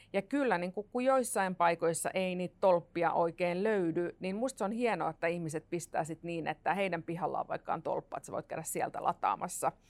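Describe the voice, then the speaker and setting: A woman's fairly low voice, an ordinary speaking voice, with ordinary pitch variation, a moderate pace, hardly any pauses, and a dry, close sound with no echo. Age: 40s. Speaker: futurist. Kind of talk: panel discussion.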